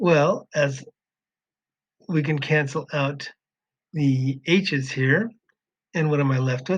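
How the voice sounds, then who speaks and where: A man with a fairly high, somewhat breathy voice speaks at a very slow pace with fairly even intonation, the sound dry and close with no echo. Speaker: math teacher. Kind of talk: tutorial.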